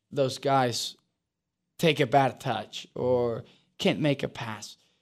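A man with a Spanish accent talks at a very slow pace in a fairly high pitch, on a very clean recording with a silent background. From Uruguay. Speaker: professional soccer player. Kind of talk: podcast interview.

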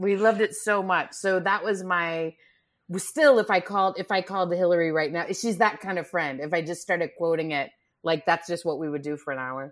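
A woman speaks at a fairly quick pace with a fairly low pitch and ordinary pitch variation. She has a normal speaking voice, on a very clean recording with a silent background. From Texas, Grand Prairie near Dallas. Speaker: comedian. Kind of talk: casual chat.

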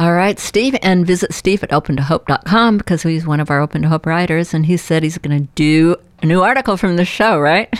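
A woman with an ordinary speaking voice, fairly low pitch and ordinary pitch variation, talking at a fairly quick pace with hardly any pauses, in a dry, close sound with no echo. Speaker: radio host. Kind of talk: interview.

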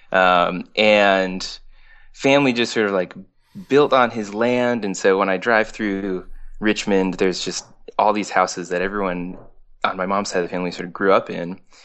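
A man with an American accent speaks in a plain, everyday voice at a fairly low pitch. He keeps a moderate pace and fairly even intonation. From Berkshires, western Massachusetts. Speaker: singer-songwriter. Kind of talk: casual interview chat.

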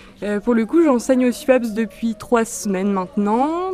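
With music in the background, a woman talks at a fairly high pitch. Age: 20s. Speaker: dance teacher. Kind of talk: interview. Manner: halting.

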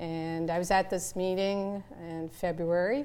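A woman talks at a very slow pace with a fairly low pitch. Her tone is dark and mellow. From Canada. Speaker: infectious disease doctor. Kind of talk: casual interview.

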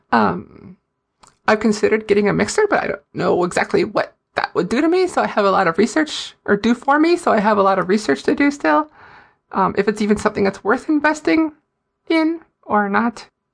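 Against a quiet background, a woman with an American accent speaks fairly quickly at a fairly high pitch with vocal fry, very wide pitch swings and very even loudness. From Fargo, North Dakota. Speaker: indie gamer and writer.

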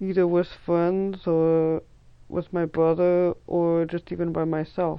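At a fairly slow pace, a woman speaks with a fairly low pitch in an ordinary speaking voice. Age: 30s. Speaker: listener sharing a personal story. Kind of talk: recorded personal story.

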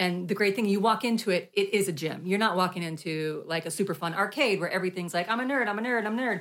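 A woman at a medium pitch and a very fast pace, with ordinary pitch variation. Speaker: podcast host. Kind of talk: casual chat. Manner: laughing, playful.

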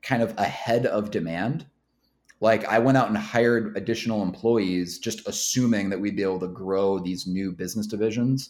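In a very clean recording with a silent background, a man talks at a moderate pace in a plain, everyday voice, fairly low in pitch with ordinary pitch variation. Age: 30s. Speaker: business owner. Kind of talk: interview. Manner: casual.

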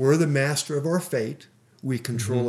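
The recording is very clean and the background silent. A man talks with a somewhat breathy voice. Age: 60s. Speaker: financial coach. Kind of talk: interview. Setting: radio studio.

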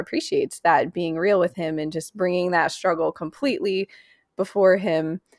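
Recorded very cleanly against a silent background, a woman with an ordinary speaking voice talks at a moderate pace in a dry, close sound with no echo. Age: 20s. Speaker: podcast host. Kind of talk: interview.

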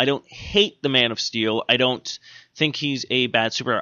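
A man speaks at medium pitch and a moderate pace. His is an unremarkable speaking voice with ordinary pitch variation. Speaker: comic book podcast host. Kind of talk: casual chat. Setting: studio. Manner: rambling, filler-heavy.

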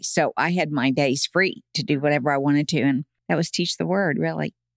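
Very clean and silent in the background, this recording has a dry, close sound with no echo. A woman speaks with an American accent and a very deep, low pitch. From Oklahoma, US. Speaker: Bible teacher. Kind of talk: casual chat.

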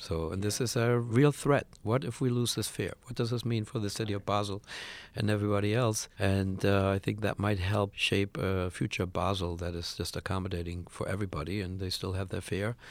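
On a very clean recording with a silent background, a man talks at a fairly quick pace, his fairly low pitch held in fairly even intonation. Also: hardly any pauses. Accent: German. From Germany. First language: German. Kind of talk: interview. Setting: studio.

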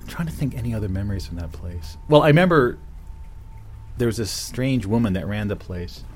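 A man with a fairly low pitch and very wide pitch swings, at a fairly quick pace, with music in the background. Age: 50s. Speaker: radio show host. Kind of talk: solo monologue. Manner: halting.

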